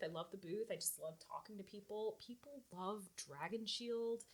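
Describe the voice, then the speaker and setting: A woman with an animated tone, medium pitch, ordinary pitch variation and a moderate pace. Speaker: convention coordinator for a gaming accessories company. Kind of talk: casual chat. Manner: loud.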